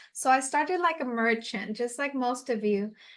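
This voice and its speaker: A woman's high-pitched voice in a Puerto Rican accent, with ordinary pitch variation. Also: quiet background. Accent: Puerto Rican-tinged American English. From Puerto Rico. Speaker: e-commerce coach. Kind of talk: webinar presentation.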